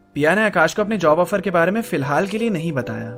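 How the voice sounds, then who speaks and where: Music plays in the background as a man speaks. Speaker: storyteller / podcast narrator. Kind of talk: storytelling podcast narration. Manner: narrating.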